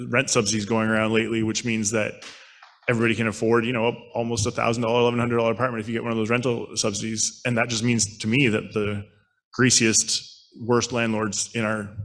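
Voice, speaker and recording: The delivery comes at a very fast pace. The intonation is monotone and flat. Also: man, medium pitch for a man. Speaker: street outreach worker. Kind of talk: conference panel talk. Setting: conference panel.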